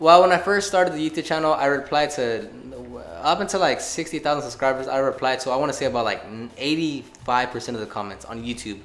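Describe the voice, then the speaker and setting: The speech comes at a very fast pace, mumbled, with ordinary pitch variation. Noticeable background noise runs underneath. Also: man, fairly high pitch for a man. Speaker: car detailing youtuber. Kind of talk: casual podcast interview. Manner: mumbling.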